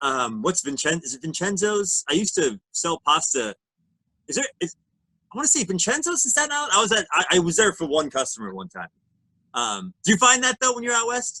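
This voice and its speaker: A man with an American accent talks in a raised, projected voice at a fairly quick pace, his high pitch making very wide swings. The sound is dry and close, with no echo. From Reading, Pennsylvania. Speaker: podcast co-host and musician. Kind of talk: podcast interview. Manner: halting, stammering.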